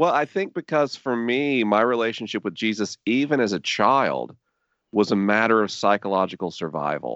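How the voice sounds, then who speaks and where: A man with an ordinary speaking voice talks at a moderate pace, his medium pitch carrying lively intonation. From US South, Tallahassee, Florida. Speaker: podcaster and faith writer. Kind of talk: interview conversation.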